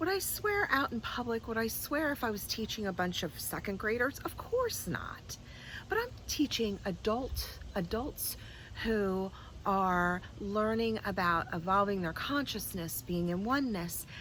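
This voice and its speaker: In an American accent, a woman speaks at a fairly slow pace. Her medium pitch shows ordinary variation. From New Jersey, US. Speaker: spiritual teacher. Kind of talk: vlog monologue. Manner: casual, unscripted.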